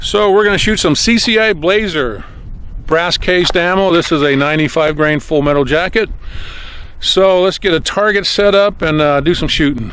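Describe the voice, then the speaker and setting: A man with a high voice speaks at a very even loudness. Noticeable background noise runs underneath. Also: ordinary pitch variation, moderate pace. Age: 60s. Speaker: gun hobbyist youtuber. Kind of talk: casual tutorial. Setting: outdoors.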